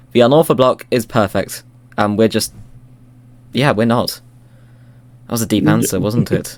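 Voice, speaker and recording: Long, frequent pauses break up this man's speech, delivered at a medium pitch with vocal fry and ordinary pitch variation. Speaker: Minecraft custom model creator. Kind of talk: casual podcast chat. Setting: outdoors. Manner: fast.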